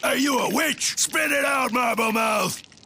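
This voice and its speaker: A man's gruff, shouting cartoonish character voice, extremely high in pitch, at a moderate pace. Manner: gruff, refers to himself in third person.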